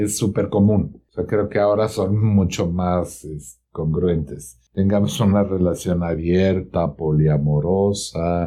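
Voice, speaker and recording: This man talks at a very slow pace in a very deep, low voice. His intonation stays fairly even. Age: 50s. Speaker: psychotherapist. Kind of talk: interview.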